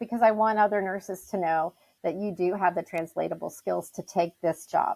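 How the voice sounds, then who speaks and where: A woman speaks at a medium pitch with ordinary pitch variation and a plain, everyday voice. The sound is dry and close, with no echo. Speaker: nurse and independent patient advocate. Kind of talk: interview.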